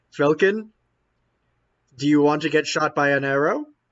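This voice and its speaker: Fairly high-pitched for a man, a put-on character voice delivered at a moderate speed. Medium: actual play.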